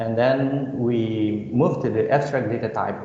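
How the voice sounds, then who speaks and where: Audible room echo and noticeable background noise surround the voice. A man speaks at a medium pitch with a Balinese accent. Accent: Indonesian (Balinese) English. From Bali, Indonesia. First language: Indonesian. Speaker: computer science lecturer. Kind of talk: lecture. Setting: video call. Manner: halting, many fillers.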